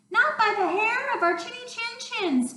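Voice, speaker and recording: A woman puts on a squeaky character voice at an extremely high pitch. She keeps a moderate pace, with slight echo. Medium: read story.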